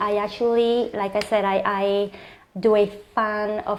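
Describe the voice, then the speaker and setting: A woman with a slight Puerto Rican accent speaks at a fairly high pitch. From Puerto Rico. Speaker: clinical psychologist. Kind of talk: interview.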